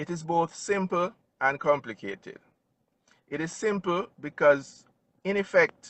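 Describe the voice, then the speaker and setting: The speaker has a Jamaican accent and talks at a fairly slow pace, with long, frequent pauses and ordinary pitch variation. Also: man, high pitch for a man. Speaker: financial advisor. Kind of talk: interview. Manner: formal.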